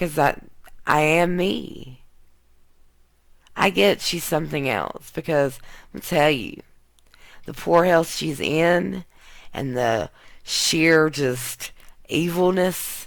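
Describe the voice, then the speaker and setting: In an American accent, a woman with a very deep, low pitch and vocal fry speaks at a very slow pace, pausing long and often, her pitch varying in an ordinary way. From US South, Mississippi. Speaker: YouTube tarot card reader. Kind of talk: tarot reading vlog rant. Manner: blunt.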